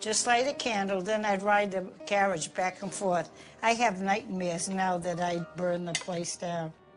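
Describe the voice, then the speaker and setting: Music plays behind a woman with an American accent who speaks fairly slowly at a medium pitch with fairly even intonation. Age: old. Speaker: grandmother. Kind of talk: interview answer.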